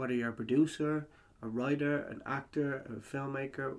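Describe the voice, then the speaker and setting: A man with an Irish accent, a fairly high pitch and a moderate pace. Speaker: podcast host. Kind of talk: interview.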